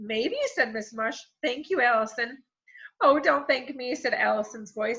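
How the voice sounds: A quiet background sits behind a natural reading voice.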